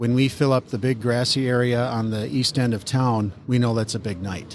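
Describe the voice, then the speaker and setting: Speaking at a moderate pace with an American accent, a man has a plain, everyday voice, medium pitch and ordinary pitch variation. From Minnesota. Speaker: car club president. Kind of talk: interview. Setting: on location at event.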